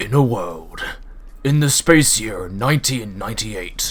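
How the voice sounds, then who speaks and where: A man puts on a character voice at a medium pitch. He keeps a moderate pace over light background noise. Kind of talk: eighties trailer style. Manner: dramatic.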